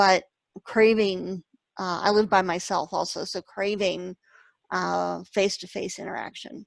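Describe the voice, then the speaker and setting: Delivered at a fairly slow pace in a monotone, flat intonation, the speech has a dry, close sound with no echo in a very clean recording with a silent background. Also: woman, medium pitch for a woman. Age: 50s. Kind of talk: casual chat.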